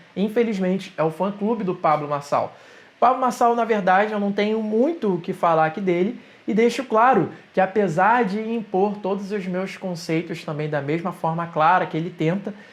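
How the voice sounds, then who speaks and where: A man with a Rio de Janeiro accent speaks at a moderate pace in a high pitch. His pitch varies in an ordinary way. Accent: carioca. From Rio de Janeiro, Brazil. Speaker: digital entrepreneur, YouTuber. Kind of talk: opinion monologue to camera.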